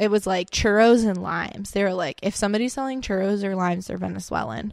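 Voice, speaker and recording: A woman with an American accent and a normal speaking voice, medium in pitch with fairly even intonation, in a very clean recording with a silent background. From South Florida, Lake Okeechobee. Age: 20s. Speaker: podcast guest. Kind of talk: casual chat.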